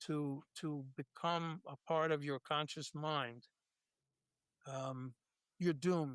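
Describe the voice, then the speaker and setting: A man with an American accent talks at a very slow pace in a fairly high voice with fairly even intonation, the sound dry and close with no echo. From New York (Brooklyn). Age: 80s+. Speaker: author and former lawyer. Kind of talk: interview. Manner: halting, many fillers and repetitions.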